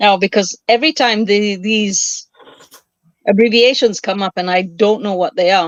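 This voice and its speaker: A woman speaks at a moderate pace in a normal speaking voice. Her pitch is medium with ordinary variation. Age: 60s. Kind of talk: casual chat.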